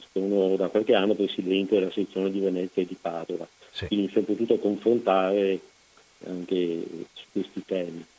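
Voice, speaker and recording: This man's pitch is very deep and low, with a dark, mellow tone. He talks at a fairly quick pace, and his loudness swings widely. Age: 70s. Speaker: son of a fallen soldier, association president. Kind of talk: interview, personal testimony. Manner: halting, many fillers.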